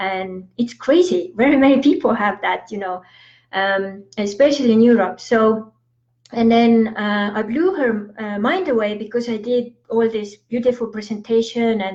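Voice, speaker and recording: Somewhat breathy and fairly high-pitched, a woman speaks at a moderate pace with ordinary pitch variation. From Estonia. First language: Estonian. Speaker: spiritual coach. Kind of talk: casual talk to camera (live stream). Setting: Facebook live video.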